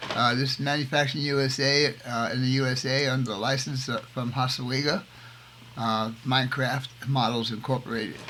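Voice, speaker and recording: Noticeable background noise sits under a man speaking at a moderate pace, his medium pitch carrying fairly even intonation. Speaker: scale model builder, navy veteran. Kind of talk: hobby tutorial. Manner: casual, halting with fillers.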